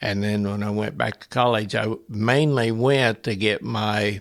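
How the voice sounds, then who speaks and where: This man has a Midwestern US accent and a fairly low pitch. He talks at a fairly slow pace with fairly even intonation. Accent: rural Midwestern American. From central Illinois. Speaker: retired factory worker and custom knife maker. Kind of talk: interview answer.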